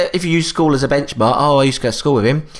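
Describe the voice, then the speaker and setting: Noticeable background noise plays while a man talks. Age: 30s. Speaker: podcast co-host. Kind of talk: casual chat.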